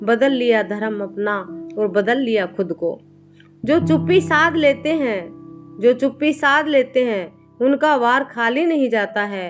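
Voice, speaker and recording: Over music in the background, a woman speaks at a fairly high pitch with lively intonation. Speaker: poet. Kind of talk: poetry reading.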